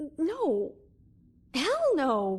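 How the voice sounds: Using a put-on character voice, a woman speaks very slowly at a high pitch with very wide pitch swings.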